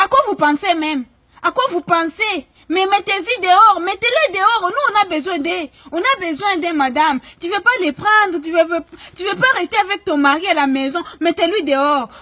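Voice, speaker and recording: Her voice is raised and projected at an extremely high pitch, with lively intonation. The woman keeps a moderate pace. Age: 20s. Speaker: vlogger. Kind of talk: comic monologue. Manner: animated.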